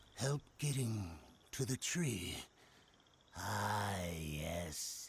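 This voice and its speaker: Using a cartoonish character voice, a man drawls at a very slow pace with a fairly low pitch. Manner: cryptic.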